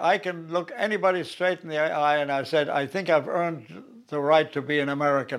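This voice carries a German accent. It moves at a moderate pace. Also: man. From Germany. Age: 90s. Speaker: war veteran. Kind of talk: interview.

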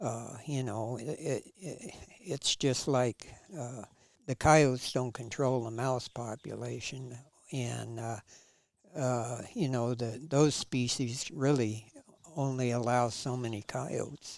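A man with medium pitch speaks at a very slow pace. His intonation stays fairly even. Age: 70s. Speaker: retired government hunter and trapper. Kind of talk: casual interview storytelling. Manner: halting, many fillers and repetitions.

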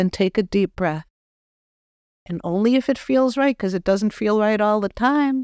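A woman with a Boston accent speaks at a moderate pace and fairly high pitch, with lively intonation and long, frequent pauses, on a very clean recording with a silent background and a dry, close sound with no echo. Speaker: spiritual medium and podcast host. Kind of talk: spiritual talk with guided reflection. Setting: office studio.

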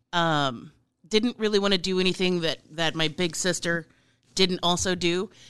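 With fairly even intonation, a woman speaks in a normal speaking voice. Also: fairly low pitch for a woman, moderate pace. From Nebraska, US Midwest. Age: 40s. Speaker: chef and political candidate. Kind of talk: interview.

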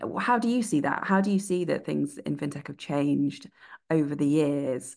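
This woman has a very deep, low pitch with vocal fry. She talks at a fairly quick pace. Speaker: PR professional and podcast co-host. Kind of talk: podcast panel discussion.

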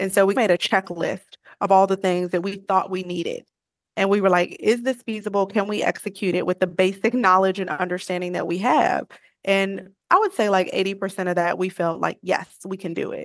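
A plain, everyday voice with an American accent, fairly quick and fairly even in intonation, in a dry, close sound with no echo. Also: woman, medium pitch for a woman. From Chicago, South Side. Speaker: coffee business founder. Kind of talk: interview conversation.

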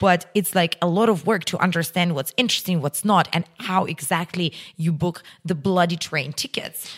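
A woman with a Russian accent speaks at a moderate pace in a fairly low pitch, her intonation fairly even and the sound dry and close with no echo. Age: 30s. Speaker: entrepreneur. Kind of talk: interview.

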